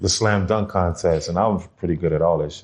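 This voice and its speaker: A man with a very deep, low pitch, somewhat breathy, with fairly even intonation over a quiet background. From New Orleans, Louisiana, US South. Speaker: former prison inmate. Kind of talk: casual interview.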